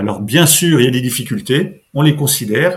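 Somewhat breathy, a man speaks at a moderate pace. His intonation is lively. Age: 50s. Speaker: local economic development officer. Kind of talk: podcast interview. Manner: halting, many repetitions.

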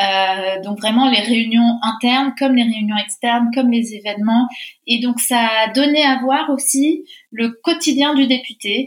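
A woman speaks at a fairly slow pace with very even loudness. Her pitch is high. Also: ordinary pitch variation. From Argentina. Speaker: member of parliament. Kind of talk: interview. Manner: hesitant with fillers and repetitions.

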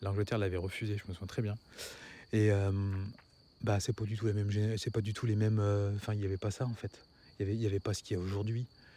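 A man speaks very fast at a fairly low pitch, his tone dark, mellow and somewhat breathy, his intonation monotone and flat, on a very clean recording with a silent background. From France, grew up in a housing estate. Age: 40s. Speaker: podcast host, parenting. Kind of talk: solo monologue podcast. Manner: fast, swallows words; soft-spoken late in recording.

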